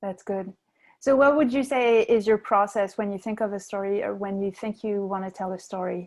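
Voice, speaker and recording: In a quiet background, a woman with a non-native accent speaks at a moderate pace, medium pitch and fairly even intonation. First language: not English. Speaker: storytelling show host. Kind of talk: interview. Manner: hesitant, many fillers.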